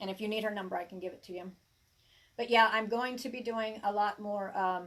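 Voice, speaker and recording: A woman with an American accent talks at a very fast pace. Her fairly high voice keeps a fairly even intonation. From US South, Arkansas hills. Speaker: tarot reader and herbalist. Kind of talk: casual live-stream chat. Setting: live stream. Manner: halting, with many fillers and restarts.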